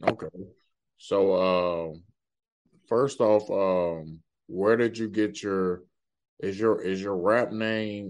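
A man's very deep, low-pitched voice, very slow in pace, with fairly even intonation. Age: 20s. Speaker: podcast host. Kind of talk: casual interview chat.

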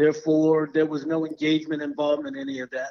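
An American-accented man at a fairly high pitch and a very fast pace. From Florida. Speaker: tech professional and sports fan. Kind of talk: podcast interview.

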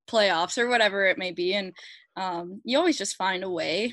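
Over a quiet background, a woman speaks at medium pitch with a slight Canadian accent. Her pace is fairly quick, with ordinary pitch variation. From Alberta, Canada. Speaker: pro hockey goalie. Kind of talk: casual interview.

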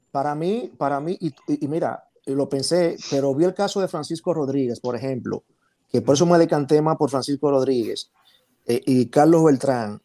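Recorded dry and close with no echo, a man with a dark, mellow tone speaks at a fairly high pitch with ordinary pitch variation. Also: moderate pace. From Dominican Republic. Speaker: baseball writer and Hall of Fame voter. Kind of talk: panel discussion.

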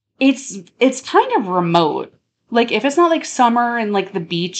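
Speaking at a moderate pace, a woman with an American accent has a fairly high pitch. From US, Long Island, New York. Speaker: podcast host. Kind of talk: casual chat.

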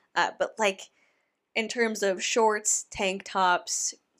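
Loud and at a very slow pace, a woman speaks with a bright, sharp tone and fairly even intonation in a very clean recording with a silent background. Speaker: YouTuber and podcast host. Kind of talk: casual commentary reading listener submissions. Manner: rambling, thinking out loud.

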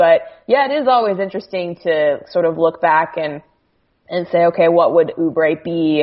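A woman with an American accent talks in an ordinary speaking voice, her pitch fairly low with ordinary variation, at a moderate pace. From Arizona, US (Phoenix). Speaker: sports journalist. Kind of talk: casual chat. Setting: Skype call. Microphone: slightly echoey audio.

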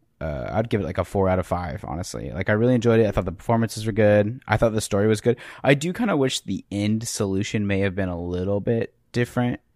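A man with a fairly low pitch rushes along at a very fast pace with hardly any pauses and ordinary pitch variation, in a dry, close sound with no echo. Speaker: podcast host. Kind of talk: casual chat. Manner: joking.

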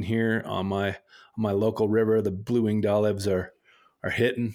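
In a very clean recording with a silent background, a man with an American accent and a medium pitch speaks at a moderate pace in an unremarkable speaking voice. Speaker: podcast co-host. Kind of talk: casual interview chat.

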